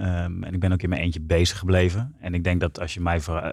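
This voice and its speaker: The speaker's somewhat breathy voice moves at a fairly quick pace in a very clean recording with a silent background. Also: man. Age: 30s. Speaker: entrepreneur. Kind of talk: interview. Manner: hesitant.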